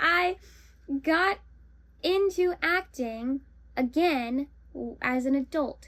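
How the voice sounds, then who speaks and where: A woman with a high-pitched voice speaks with lively intonation. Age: 20s. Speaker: actor and vlogger. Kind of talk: casual vlog talk. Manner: chatty, rambling with self-corrections.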